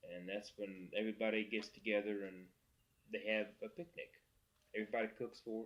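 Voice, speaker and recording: Speaking at a moderate pace, a man with a fairly low pitch keeps his intonation fairly even. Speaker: oral history interviewer. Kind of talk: interview questions.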